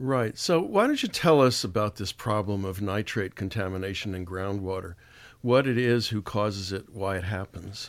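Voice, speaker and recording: In a very clean recording with a silent background, a man uses an ordinary speaking voice, fairly low in pitch, at a moderate pace. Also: ordinary pitch variation. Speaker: radio host. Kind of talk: radio interview.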